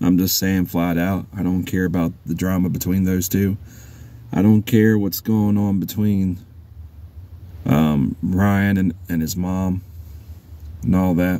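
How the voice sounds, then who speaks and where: Soft-spoken and very deep, low-pitched, a man talks at a fairly slow pace with fairly even intonation and long, frequent pauses. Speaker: YouTuber commenting on online drama. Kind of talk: casual vlog monologue. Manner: halting, repeats words.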